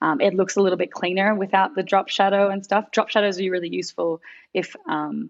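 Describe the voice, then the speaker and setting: Talking at a fairly quick pace, a woman with an Australian accent speaks with vocal fry. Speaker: graphic designer. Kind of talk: design critique.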